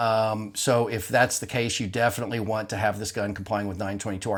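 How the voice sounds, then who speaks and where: The pace is very fast as a man speaks. Intonation holds fairly even. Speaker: gun parts business owner. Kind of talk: product explainer video.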